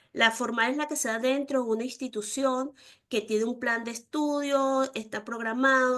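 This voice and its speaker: A woman with an ordinary speaking voice, fairly high pitch, moderate pace and fairly even intonation. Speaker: university lecturer. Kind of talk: online lecture.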